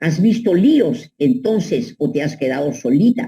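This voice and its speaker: A woman speaks at a fairly slow pace in a dark, mellow tone, somewhat breathy, with very wide pitch swings. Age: 80s+. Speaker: psychoanalyst. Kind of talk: advice monologue. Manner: animated.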